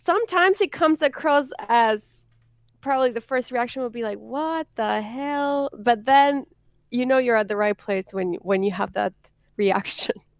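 A woman speaks at a moderate pace in a high pitch, her intonation lively. The recording is very clean with a silent background, dry and close with no echo. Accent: Spanish. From Argentina. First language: Spanish. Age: 30s. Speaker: content creator. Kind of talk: interview.

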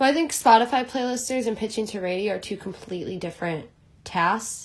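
A woman with an American accent uses a normal speaking voice at a fairly quick pace, with ordinary pitch variation. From Chicago. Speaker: music agent assistant and former band manager. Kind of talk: interview.

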